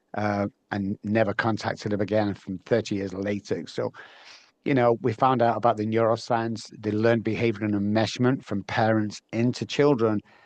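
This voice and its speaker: A man with an English accent speaks at a moderate pace in a fairly low, monotone, flat voice, dry and close with no echo over a quiet background. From northern England, Manchester. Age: 60s. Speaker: neuroscience and behavior specialist. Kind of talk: interview. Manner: halting, many fillers.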